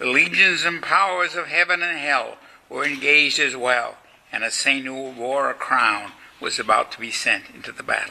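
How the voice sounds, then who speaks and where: Over noticeable background noise, the speech moves at a moderate pace in a solemn tone with big swings in loudness. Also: man. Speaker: lecturer and author. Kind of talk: lecture delivered to a live audience, reverent history narration. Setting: college lecture hall. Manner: solemn, formal, measured storytelling with devout gravity.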